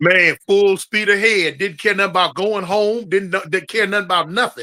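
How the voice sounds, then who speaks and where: A man with a high pitch and a bright, sharp tone projects his raised voice. He keeps a moderate pace and fairly even intonation. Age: 60s. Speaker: former gang member and ex-prisoner. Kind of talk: interview conversation. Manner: casual, storytelling.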